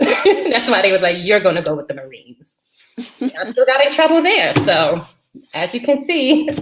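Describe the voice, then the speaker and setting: With an American accent, a woman speaks at a high pitch. Her pitch swings very widely. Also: moderate pace, big swings in loudness. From New York. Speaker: military veteran. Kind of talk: casual chat. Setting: livestream.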